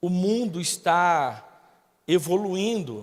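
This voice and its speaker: Very slowly, a man talks in a high register. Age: 40s. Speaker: guest pastor. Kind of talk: sermon. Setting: church with congregation.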